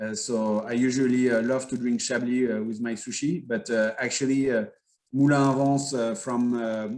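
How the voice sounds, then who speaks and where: Speaking at a fairly slow pace, a man with a French accent keeps a medium pitch and fairly even intonation. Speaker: winery owner. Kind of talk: interview. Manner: halting.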